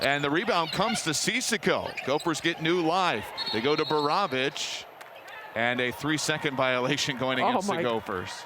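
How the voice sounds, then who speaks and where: A man's fairly high voice with lively intonation, very even loudness and a moderate pace, over noticeable background noise. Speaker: radio play-by-play announcer. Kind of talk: live sports radio play-by-play.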